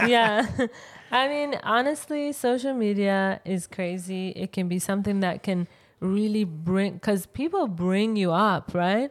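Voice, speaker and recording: In a very clean recording with a silent background, the speaker talks at a fairly slow pace with a strong non-native accent and lively intonation. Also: woman, medium pitch for a woman. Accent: thick non-native English. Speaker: podcast co-host, English teacher. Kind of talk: casual chat. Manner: laughs often, lively.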